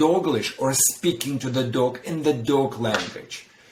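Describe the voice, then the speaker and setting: Over noticeable background noise, a man speaks very slowly with ordinary pitch variation. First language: not English. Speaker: dog trainer. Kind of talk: podcast conversation.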